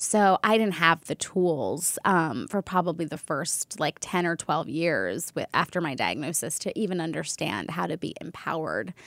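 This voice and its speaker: A woman with a fairly low pitch and vocal fry speaks at a moderate pace. The recording is very clean, with a silent background and a dry, close sound free of echo. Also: lively intonation, hardly any pauses. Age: 30s. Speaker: wellness entrepreneur. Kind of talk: casual chat.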